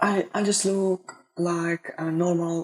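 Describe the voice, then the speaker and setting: A woman with a Russian accent talks in a fairly low voice. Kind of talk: casual talk to camera.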